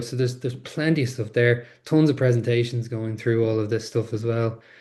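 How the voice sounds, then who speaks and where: A somewhat breathy man's voice with an Irish accent and a dark, mellow tone. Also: quiet background. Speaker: webinar presenter. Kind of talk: webinar tutorial. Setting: online webinar. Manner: fast; animated.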